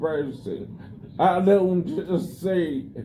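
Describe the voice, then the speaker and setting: This is a man's voice. His pitch is high. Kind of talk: conversation with hospital staff. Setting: hospital room. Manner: slow; halting.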